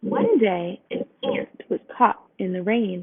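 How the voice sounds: A woman speaks slowly at a medium pitch, with big swings up and down. Her voice carries a slightly husky edge.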